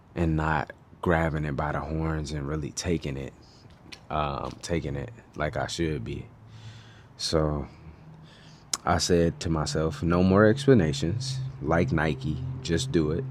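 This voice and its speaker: Speaking with a very deep, low pitch, a man uses lively intonation at a fairly slow pace, with long, frequent pauses. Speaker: video blogger. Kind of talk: casual monologue. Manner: mumbling, quiet.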